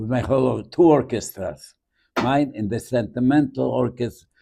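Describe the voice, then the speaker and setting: A man talks at a fairly slow pace with vocal fry. His pitch varies in an ordinary way. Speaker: Holocaust survivor, bandleader. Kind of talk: interview answer.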